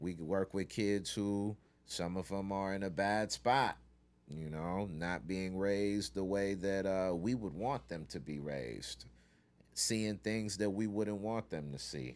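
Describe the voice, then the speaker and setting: A man's fairly low pitch with ordinary pitch variation at a fairly slow pace. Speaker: youth mentor. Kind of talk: interview. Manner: raises voice when passionate.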